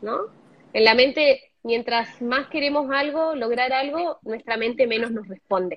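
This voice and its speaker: Speaking in an Argentine accent, a woman with a high pitch goes at a fairly slow pace with ordinary pitch variation. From Argentina, Zapala (Neuquén). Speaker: meditation teacher. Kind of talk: interview explanation.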